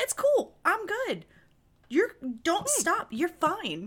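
In a put-on character voice with a Midwestern accent, a woman speaks at a fairly slow pace, her extremely high pitch making very wide swings. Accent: Midwest. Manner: bouncy, reassuring.

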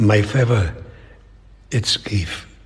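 A man speaks in a somewhat breathy voice. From Catalonia, Spain. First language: Catalan or Spanish. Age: old. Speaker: fine artist and illustrator. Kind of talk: interview. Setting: artist's studio. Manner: halting.

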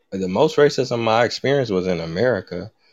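A man's voice with ordinary pitch variation. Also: quiet background. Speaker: hip-hop artist and historian. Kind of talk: casual interview chat. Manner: relaxed, lights up when talking.

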